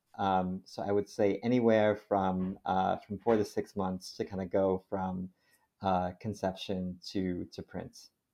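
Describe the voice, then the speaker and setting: A man with an American accent speaks at a fairly slow pace. His pitch is very deep and low, and his intonation is monotone and flat. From Connecticut. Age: 30s. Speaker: science magazine editor. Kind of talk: interview.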